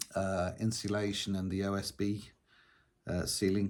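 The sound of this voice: Speaking at a slow pace, a man with a fairly low voice keeps his pitch fairly level, his tone slightly mellow.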